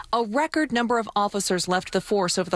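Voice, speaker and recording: A woman's voice over noticeable background noise. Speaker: TV news reporter. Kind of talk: TV news report voiceover.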